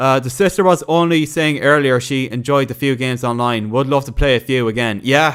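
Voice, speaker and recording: A man with an Irish accent, fairly high in pitch, at a moderate pace. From Ireland. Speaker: gaming streamer. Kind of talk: casual livestream chat reading viewer comments. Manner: halting, many fillers and restarts.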